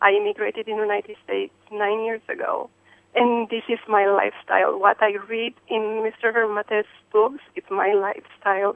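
A woman speaks with a fairly high pitch at a moderate pace. Her intonation is monotone and flat. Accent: Eastern European. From Romania/Hungary, Eastern Europe. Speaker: caller. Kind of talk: radio call-in. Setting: phone call. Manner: emotional, effusive.

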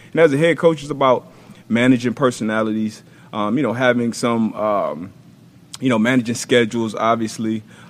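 At a fairly quick pace, a man talks in a plain, everyday voice at medium pitch with ordinary pitch variation. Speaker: former NFL defensive back, football analyst. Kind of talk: football film breakdown.

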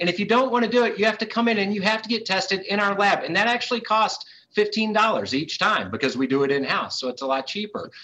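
A man with a high-pitched, bright and sharp voice talks at a very fast pace in a raised, projected tone, his intonation lively and hardly any pauses between words. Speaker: casino company executive. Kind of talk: TV business interview.

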